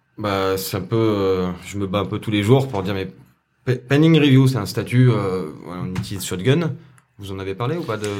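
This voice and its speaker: Lively intonation from a fairly low-pitched man at a fairly slow pace, with audible room echo. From France, Saint-Etienne. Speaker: compositing artist. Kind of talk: interview.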